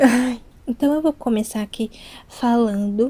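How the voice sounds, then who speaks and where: The speaker is a woman. Her pitch is fairly high. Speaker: ASMR youtuber. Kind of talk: casual chat. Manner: soft-spoken; not whispering today, slightly louder.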